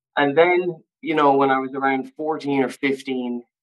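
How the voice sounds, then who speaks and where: A man speaks with a western Irish accent at a fairly slow pace, his pitch medium and his intonation fairly even. The sound is dry and close, with no echo. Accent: Irish (west of Ireland). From Ireland, Castlebar (County Mayo). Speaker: recovering addict, drummer and model. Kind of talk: personal testimony in interview. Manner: halting, many fillers and repetitions.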